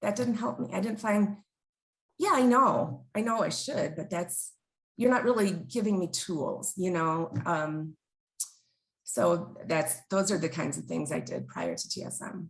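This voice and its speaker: At a medium pitch, a woman speaks fairly slowly with vocal fry. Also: lively intonation. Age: 50s. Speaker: interviewee recovering from problem drinking. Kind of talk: interview testimony. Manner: halting, many fillers.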